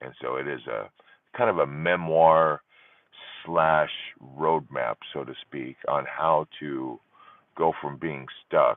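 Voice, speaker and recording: A man speaks at a very slow pace with a very deep, low pitch and fairly even intonation. His loudness swings widely, and his pauses are long and frequent. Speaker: divorce support livestream host. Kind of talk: live stream chat with viewers. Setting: live stream. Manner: conversational with frequent fillers. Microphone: using a separate microphone, not the phone.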